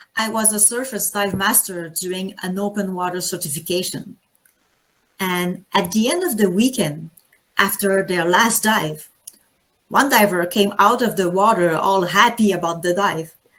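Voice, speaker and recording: A woman speaks with a French accent. Her pitch is medium. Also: ordinary pitch variation, moderate pace. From Quebec, Canada. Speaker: anesthesiologist and diving instructor. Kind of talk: conference talk.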